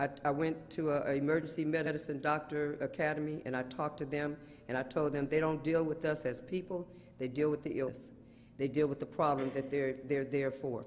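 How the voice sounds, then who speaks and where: This man talks at a fairly quick pace in a fairly high pitch, his intonation monotone and flat. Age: 60s. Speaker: community partner and mental health advocate. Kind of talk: testimony.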